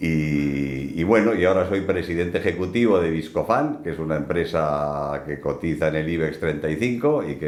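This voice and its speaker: A man's very deep, low voice at a fairly quick pace, with audible room echo and noticeable background noise. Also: hardly any pauses. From Basque Country, Spain (Bilbao). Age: 70s. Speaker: hunter and business executive. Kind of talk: interview. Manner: halting, many repetitions.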